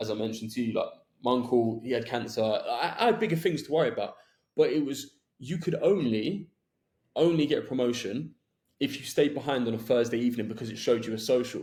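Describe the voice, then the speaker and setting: With a London accent, a man speaks very fast at a medium pitch, somewhat breathy, his pitch varying in an ordinary way. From southwest London, England. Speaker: podcast host. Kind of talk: podcast interview.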